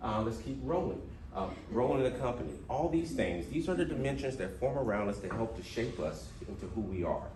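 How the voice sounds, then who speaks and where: Speaking fairly quickly at a medium pitch, a man swings his pitch very widely over noticeable background noise and audible room echo. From US South, Mississippi. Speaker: diversity trainer. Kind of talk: workshop presentation. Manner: animated.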